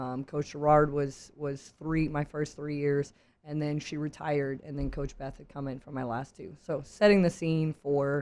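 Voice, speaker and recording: A woman's very deep, low voice, dark and mellow in tone, with monotone, flat intonation at a moderate pace. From Louisiana, Cajun country (Carencro). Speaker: strength and conditioning coach, former softball player. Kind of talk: casual interview chat.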